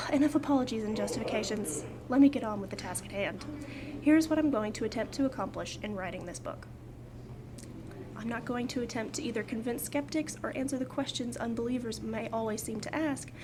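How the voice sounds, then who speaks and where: An ordinary speaking voice moves at a fairly quick pace. Its pitch variation is ordinary. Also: woman, fairly high pitch for a woman. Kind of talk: book reading. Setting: outdoors.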